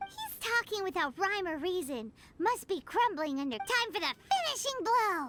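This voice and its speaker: A put-on character voice at extremely high pitch and moderate pace, with music in the background. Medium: video game. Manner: bouncy, excitable.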